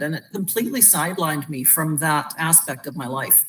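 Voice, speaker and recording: Fairly quick speech in a normal speaking voice from a woman with fairly low pitch. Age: 60s. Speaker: wellness product user sharing testimonial. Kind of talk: testimony. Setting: live video stream.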